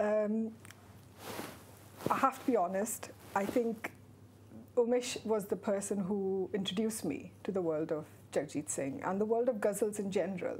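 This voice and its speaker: A woman at medium pitch with a Marathi accent, moderate pace, ordinary pitch variation and long, frequent pauses. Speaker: author. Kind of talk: TV interview.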